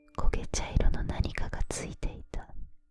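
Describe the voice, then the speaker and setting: A woman is whispering. Music plays in the background. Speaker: ASMR creator. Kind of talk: whispered scary story reading. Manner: whispered, soft, close to the ear.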